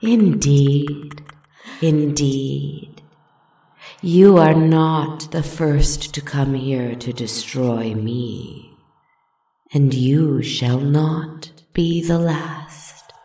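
A put-on character voice sits at a low-to-middle pitch and moves at a very slow pace. The tone is calm, with slight echo. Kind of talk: dark fairy-tale storytelling. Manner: purring, calm, mocking.

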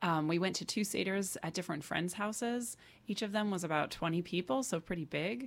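At a fairly quick pace, a woman uses an ordinary speaking voice with medium pitch and ordinary pitch variation, on a very clean recording with a silent background. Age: 30s. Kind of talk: radio interview. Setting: radio studio.

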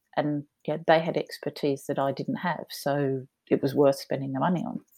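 In a very clean recording with a silent background, a woman with an Australian accent talks at a moderate pace in a dark, mellow tone. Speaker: entrepreneur. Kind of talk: interview.

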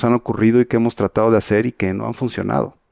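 In a dry, close sound with no echo, a man speaks at a medium pitch with a dark, mellow tone and fairly even intonation. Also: very clean recording, silent background. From Mexico. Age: 50s. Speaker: magazine publisher. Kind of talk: interview.

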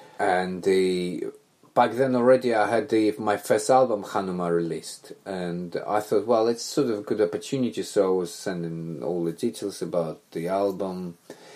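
With a Russian accent and a fairly low pitch, a man speaks at a moderate pace with ordinary pitch variation and hardly any pauses. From Belarus. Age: 30s. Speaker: musician. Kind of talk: casual chat. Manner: halting.

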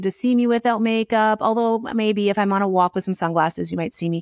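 On a very clean recording with a silent background, a woman talks at a fairly quick pace and a medium pitch with ordinary pitch variation. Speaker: retired dietitian and business educator. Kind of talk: interview. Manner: fast; animated.

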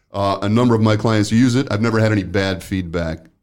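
With an ordinary speaking voice, a man talks at a fairly quick pace, his fairly low pitch showing ordinary variation. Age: 60s. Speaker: workplace safety consultant and podcast host. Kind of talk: casual interview.

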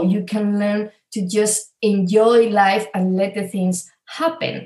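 A woman with a Spanish accent, fairly high pitch, dark, mellow tone, somewhat breathy delivery, fairly even intonation and very slow pace. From Spain. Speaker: spiritual coach and healer. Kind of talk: interview conversation.

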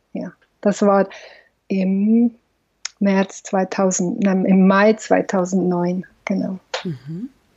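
With long, frequent pauses, a woman speaks at a very slow pace in a somewhat breathy voice. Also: medium pitch for a woman, fairly even intonation. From Switzerland, Valais. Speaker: film director and psychologist. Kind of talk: interview.

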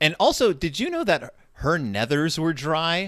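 A man with an American accent speaks in a fairly high voice with a bright, sharp tone, vocal fry, and very wide pitch swings. The recording is very clean, with a silent background. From South Texas. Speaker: podcast host, guest. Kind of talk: casual chat. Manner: halting.

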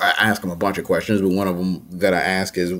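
There is noticeable background noise behind this man. He has a very deep, low voice and an American accent. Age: 30s. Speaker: nonprofit founder and CEO. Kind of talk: interview.

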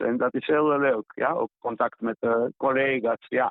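A man with a fairly high voice speaks at a fairly slow pace with fairly even intonation. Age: 60s. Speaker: visual artist. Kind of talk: interview. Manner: halting.

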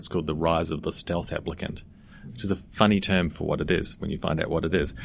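Very fast and fairly even in intonation, a man speaks in a very deep, low voice. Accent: New Zealand. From New Zealand. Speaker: education company founder. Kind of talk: interview.

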